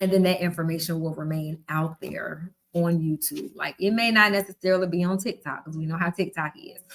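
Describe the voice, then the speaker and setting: A woman with a Southern US accent speaks at a fairly quick pace with hardly any pauses, using a fairly low pitch and fairly even intonation. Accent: Southern twang. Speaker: book club host. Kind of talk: live stream reading and commentary. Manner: casual, conversational.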